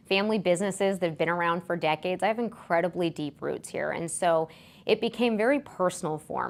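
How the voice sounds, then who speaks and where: In a very clean recording with a silent background, a woman with an Alaskan accent speaks very fast at a fairly low pitch with ordinary pitch variation. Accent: American, Alaskan. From Alaska, Anchorage. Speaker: political candidate. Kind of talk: interview.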